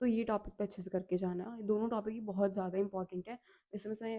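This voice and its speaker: A woman speaks at a medium pitch in a dark, mellow tone. Her intonation is fairly even. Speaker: exam-tips YouTuber. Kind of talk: exam tips talk to camera. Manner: casual, code-switching Hindi-English.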